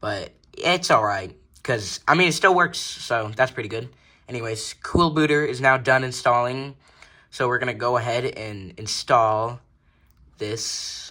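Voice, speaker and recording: Mumbling in a bright, sharp tone, a man speaks with ordinary pitch variation. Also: medium pitch for a man. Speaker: tech YouTuber. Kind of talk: tutorial. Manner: casual.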